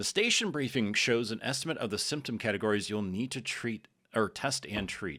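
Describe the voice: Someone does plain reading aloud. The pitch rises and falls in an ordinary way.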